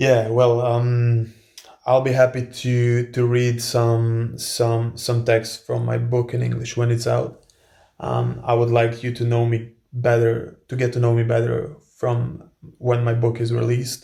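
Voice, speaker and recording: In a Croatian accent, a man talks at a fairly slow pace with a medium pitch and flat, monotone intonation. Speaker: male model and author, video blogger. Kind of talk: casual Q&A vlog. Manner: halting, many fillers and repetitions.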